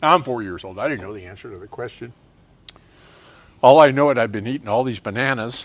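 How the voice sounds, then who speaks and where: A man with an American accent talks at a very fast pace and a medium pitch, using ordinary pitch variation, big swings in loudness, and long, frequent pauses. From US Northeast, rural New Jersey near Plainfield. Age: 70s. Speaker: racing community guest. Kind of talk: casual interview storytelling. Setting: bar.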